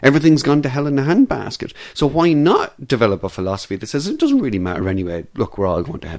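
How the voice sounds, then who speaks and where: With an Irish accent, a man speaks very fast at a fairly high pitch, his voice making very wide pitch swings and big swings in loudness. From Ireland. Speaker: philosophy lecturer. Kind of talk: casual interview. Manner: halting, many fillers.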